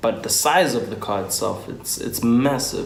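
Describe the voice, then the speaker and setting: Male speech carrying ordinary pitch variation, with noticeable background noise and audible echo from the room. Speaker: motoring YouTuber. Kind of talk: casual vlog talk. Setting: at home on a couch. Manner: hesitant, many filler ums.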